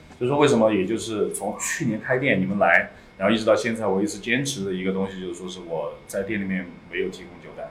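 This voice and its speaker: With audible room echo and noticeable background noise, a man talks at a very fast pace in a fairly low pitch, his loudness swinging widely. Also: ordinary pitch variation. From Sichuan, Liangshan. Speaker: craft beer bar owner. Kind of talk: casual chat. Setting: recorded in his bar.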